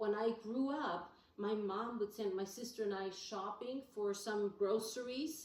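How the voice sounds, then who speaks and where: Over noticeable background noise, a woman speaks at a fairly slow pace. Her pitch is fairly high, with ordinary pitch variation. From Austria. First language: German. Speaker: interviewee, immigrant. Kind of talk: interview.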